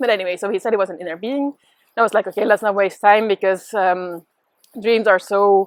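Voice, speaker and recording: A woman with a Dutch accent at a very fast pace, medium pitch, and fairly even intonation, in a dry, close sound with no echo. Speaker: spiritual teacher. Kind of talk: casual monologue. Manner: hesitant with many fillers.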